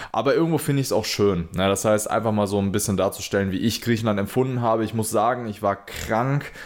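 A man's fairly low voice at a very fast pace, with ordinary pitch variation and hardly any pauses. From Germany, Minden. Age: 20s. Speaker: podcast host, entrepreneur. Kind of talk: solo podcast monologue.

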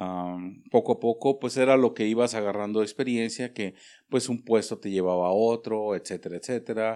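Against a quiet background, a man's medium-pitched voice carries a dark, mellow tone and fairly even intonation. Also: moderate pace. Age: 50s. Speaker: chef. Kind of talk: interview. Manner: halting, many fillers.

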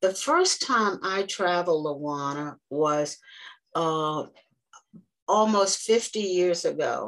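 Intonation is lively, while the pace is very slow. Long, frequent pauses break up the speech. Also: woman, fairly low pitch for a woman. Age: 80s. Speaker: travel agent. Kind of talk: casual chat.

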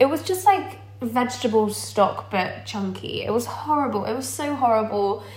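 A woman at a moderate pace with hardly any pauses, audible room echo and noticeable background noise. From Dorset, southern England. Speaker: vegan content creator. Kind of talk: casual chat.

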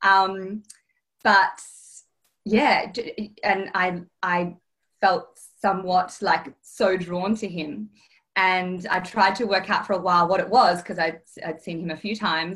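Long, frequent pauses break up a woman's fairly slow delivery. Her intonation stays fairly even. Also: medium pitch for a woman. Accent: Australian. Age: 30s. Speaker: interview guest sharing dating experience. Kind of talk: casual interview, personal testimony. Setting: video call.

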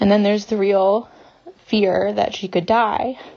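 A woman's voice over noticeable background noise. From US South. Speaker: listener voicemail caller. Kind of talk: voicemail message. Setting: phone voicemail.

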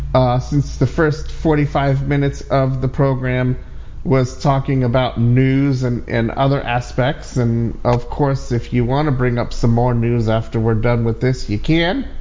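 Speaking at a fairly slow pace with hardly any pauses, a man uses a medium pitch, very even loudness and fairly even intonation over noticeable background noise. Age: 40s. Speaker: tech podcast host. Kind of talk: casual chat. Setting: online audio room.

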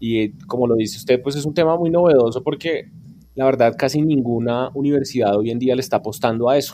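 The voice is a man's, dark and mellow in tone. He keeps up a fairly quick pace. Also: medium pitch for a man, ordinary pitch variation. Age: 30s. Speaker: radio journalist and podcast teacher. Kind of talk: interview.

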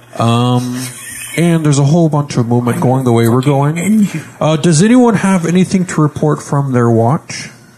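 Over noticeable background noise, a man with a fairly high voice speaks with lively intonation and very even loudness. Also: moderate pace. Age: young. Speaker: podcast host and role-playing game player. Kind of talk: casual chat while playing tabletop game.

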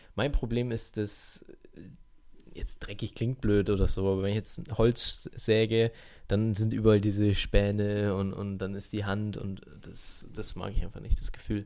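A monotone, flat delivery at a fairly slow pace, with big swings in loudness. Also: man, fairly low pitch for a man. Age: 20s. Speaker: podcast co-host. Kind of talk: casual chat.

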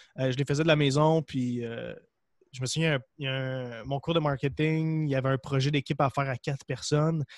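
A man talks at a moderate pace with a fairly high pitch and monotone, flat intonation. The sound is dry and close, with no echo. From Quebec, Gaspésie (Percé). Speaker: entrepreneur, supplement company cofounder and podcaster. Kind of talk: casual interview.

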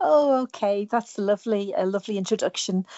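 The speaker is a woman. She talks in a British accent. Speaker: singer songwriter. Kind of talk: radio interview, casual chat. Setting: remote interview link.

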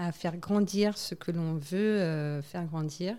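This woman talks at a very slow pace in a dark, mellow tone, with ordinary pitch variation. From French Guiana. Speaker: waste management entrepreneur and flight attendant. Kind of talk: interview.

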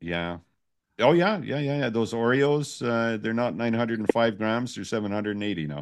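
Against a quiet background, a man with an unremarkable speaking voice talks at a moderate pace, his medium pitch carried by lively intonation. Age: 60s. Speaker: live stream host. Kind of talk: casual chat. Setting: live stream.

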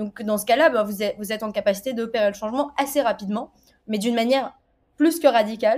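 The very clean recording with a silent background carries a normal speaking voice with ordinary pitch variation. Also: woman. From Tunisia. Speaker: software quality assurance lead. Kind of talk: interview.

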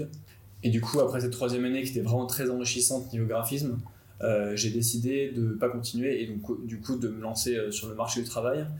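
Somewhat breathy and fairly quick, the voice keeps fairly even intonation amid audible room echo. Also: man. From France, Nantes. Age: 20s. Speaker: graphic designer and videographer. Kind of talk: personal story.

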